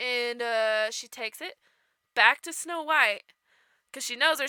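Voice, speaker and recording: A woman with a high pitch and a bright, sharp tone speaks in a raised, projected voice, animated and with lively intonation, the sound dry and close with no echo on a very clean recording with a silent background. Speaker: podcast co-host. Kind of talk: comedic storytelling.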